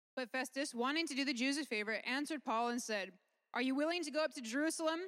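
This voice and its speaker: A woman speaks with a high pitch and fairly even intonation. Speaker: interpreter. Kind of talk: consecutive interpretation of a sermon into English. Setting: church.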